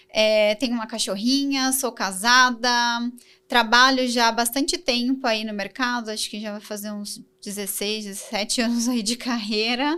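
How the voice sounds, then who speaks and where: In a very clean recording with a silent background, a woman with a fairly high, bright, sharp voice speaks at a moderate pace, her intonation fairly even but her loudness swinging widely. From Brazil, São Paulo. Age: 30s. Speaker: design coordinator. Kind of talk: podcast interview.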